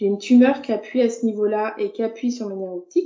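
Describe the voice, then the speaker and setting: Fairly high pitch in a woman's voice, its pitch variation ordinary. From France, Burgundy (Dijon). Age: 30s. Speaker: visually impaired card maker. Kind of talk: interview conversation. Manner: hesitant, many fillers.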